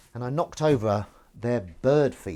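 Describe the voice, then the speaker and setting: A man speaks at a moderate pace with a Southern English accent. His tone is dark and mellow, and his intonation is lively. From southern England. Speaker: livestreamer. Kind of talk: casual live stream chat. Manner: halting, stumbling.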